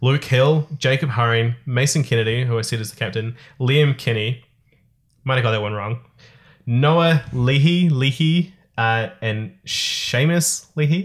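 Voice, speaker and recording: A man speaks at a medium pitch and a fairly slow pace, with ordinary pitch variation and a somewhat breathy voice on a very clean recording with a silent background. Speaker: podcast host. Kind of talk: casual chat. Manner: joking.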